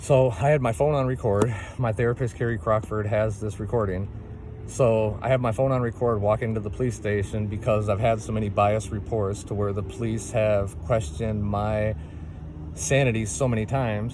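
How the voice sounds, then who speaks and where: Audible room echo follows a man speaking at a moderate pace and fairly low pitch. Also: ordinary pitch variation. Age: 40s. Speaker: single parent making a complaint video. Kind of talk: personal testimony monologue. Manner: impassioned, repetitive with fillers.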